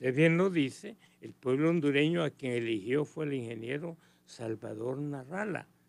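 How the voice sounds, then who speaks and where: A man talks in a normal speaking voice at a fairly high pitch and a moderate pace. He shows ordinary pitch variation and big swings in loudness. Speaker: political commentator. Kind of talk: radio interview.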